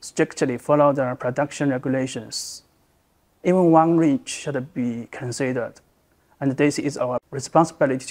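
The setting is quiet. A man talks at a moderate pace, his intonation fairly even. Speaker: sales manager. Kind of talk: interview answer. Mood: calm, earnest. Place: office. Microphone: lapel.

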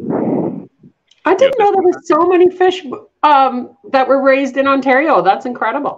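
A woman talks in a Canadian accent at a high pitch. Her intonation is lively and her pace fairly slow. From Canada. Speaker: executive director of an agriculture education charity, event host; event host. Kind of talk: live educational broadcast for school classes. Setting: live video stream. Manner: enthusiastic, upbeat. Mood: warm, enthusiastic. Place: home room. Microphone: video call.

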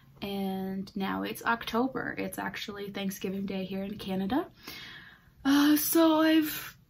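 A woman's fairly slow speech with lively intonation, over light background noise. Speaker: knitting podcast host. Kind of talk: casual vlog chat. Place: home room. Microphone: phone near.

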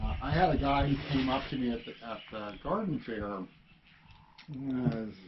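A man with an American accent, with noticeable background noise. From US South, Alabama. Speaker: worm farmer and musician. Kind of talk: casual interview. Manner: halting, many fillers. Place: garage. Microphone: camera far.

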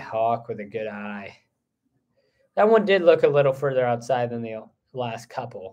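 A man at a fairly slow pace over a quiet background. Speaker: play-by-play commentator. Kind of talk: live baseball play-by-play commentary. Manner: upbeat, friendly with the co-commentator. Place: booth. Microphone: phone near.

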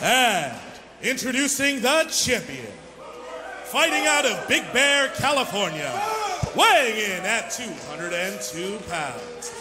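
Over noticeable background noise, a man speaks at a very slow pace with very wide pitch swings. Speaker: professional wrestling ring announcer. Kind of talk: wrestling ring announcement. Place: hall. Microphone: handheld.

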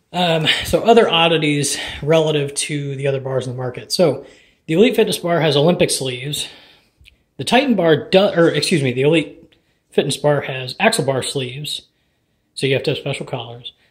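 Against a quiet background, the voice sounds somewhat breathy and has ordinary pitch variation. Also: man. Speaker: home lifter reviewing equipment. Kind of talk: product review commentary. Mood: casual, mildly critical. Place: gym. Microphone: phone near.

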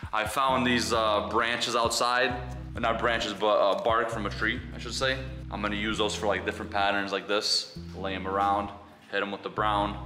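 A man's fairly low voice at a moderate pace, with ordinary pitch variation and clear music in the background. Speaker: outdoor DIY vlogger. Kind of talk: tutorial. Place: garage. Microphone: camera far.

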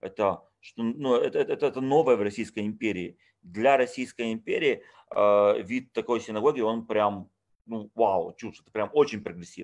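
The speaker keeps a moderate pace with ordinary pitch variation and big swings in loudness, over a quiet background. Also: man. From Odessa, Ukraine; Ukraine. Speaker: tour guide and lecturer; tour guide, lecturer. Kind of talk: online lecture. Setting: video call. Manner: informal, chatty. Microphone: webcam.

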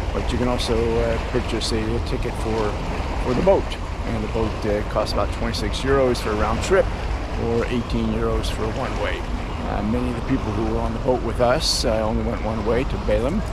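Over loud background noise, a man speaks at a fairly quick pace in a dry recording with no echo. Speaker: travel vlogger. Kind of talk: casual vlog chat. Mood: relaxed, mildly underwhelmed. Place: waterside. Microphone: phone near.

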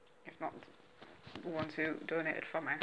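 Faint background noise sits behind a woman whose low voice has a fairly bright tone.

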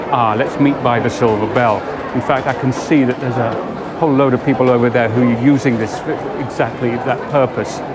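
Loud background noise under a man talking at a fairly quick pace. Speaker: TV presenter. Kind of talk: presenter piece to camera. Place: station. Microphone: lapel.

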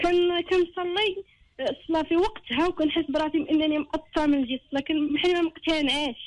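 A woman in a Moroccan accent speaks at an extremely high pitch with fairly even intonation. Her loudness stays very even at a moderate pace, with hardly any pauses. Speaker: caller. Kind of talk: personal confiding call.

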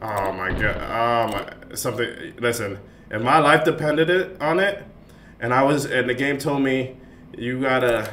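A man speaks at a fairly slow pace with lively intonation over light background noise. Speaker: game streamer. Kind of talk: gameplay commentary. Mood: exasperated, animated.

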